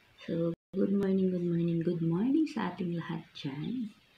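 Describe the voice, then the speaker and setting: Over noticeable background noise, a woman speaks at a very slow pace in a fairly low voice. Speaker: food vlogger. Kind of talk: casual vlog chat.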